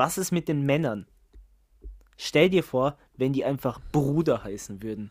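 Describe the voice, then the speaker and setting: The pace is very slow on a very clean recording with a silent background. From Germany. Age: 20s. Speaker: podcast co-host. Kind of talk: casual chat.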